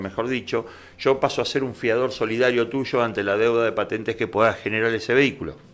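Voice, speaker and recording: Fairly quick speech from a man with a medium pitch. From Argentina. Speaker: vehicle registration agent; interview guest. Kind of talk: explanatory interview. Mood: calm, explanatory. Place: studio. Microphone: studio mic.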